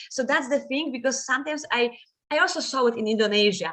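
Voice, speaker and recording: A woman with a Polish accent talks fairly quickly in a high pitch. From Poland. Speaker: guest lecturer. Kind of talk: lecture. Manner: fast.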